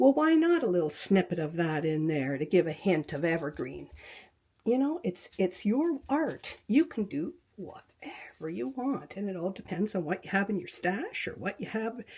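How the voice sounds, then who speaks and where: A woman's dark, mellow voice at a medium pitch moves at a moderate pace through very wide pitch swings. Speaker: quilting and fabric art teacher. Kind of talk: tutorial. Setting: home craft room, webcam. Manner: soft-spoken; halting.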